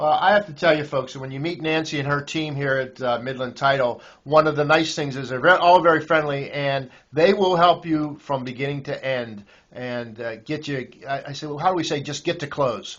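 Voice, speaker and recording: A man's fairly high voice with a Pittsburgh accent, ordinary pitch variation and a moderate pace. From Pittsburgh area, US. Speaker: real estate website host. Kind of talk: promotional interview. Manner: halting.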